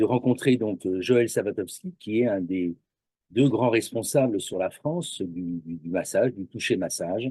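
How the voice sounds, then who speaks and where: In a quiet background with a dry, close sound and no echo, a man with a fairly low pitch and a dark, mellow tone speaks at a fairly slow pace with lively intonation. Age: 60s. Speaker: massage practitioner, retired graphic designer. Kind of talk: interview.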